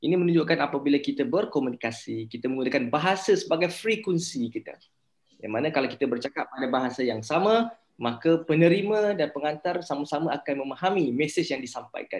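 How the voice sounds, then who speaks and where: Speaking at a very fast pace, a man with a Malaysian accent uses a fairly high pitch. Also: lively intonation. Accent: Malaysian Malay. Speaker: university lecturer. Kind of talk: lecture.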